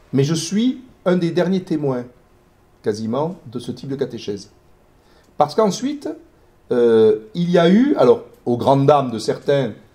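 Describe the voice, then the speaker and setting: A man's fairly high, dark, mellow and somewhat breathy voice, with very wide pitch swings and long, frequent pauses. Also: fairly slow pace. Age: 60s. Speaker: historian. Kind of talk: lecture. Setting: talk with live audience. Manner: hesitant, many fillers.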